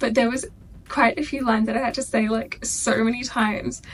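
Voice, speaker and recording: Over noticeable background noise, a woman with a fairly high pitch races along at a very fast pace. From Australia. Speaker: YouTuber. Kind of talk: casual reaction video chat. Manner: animated.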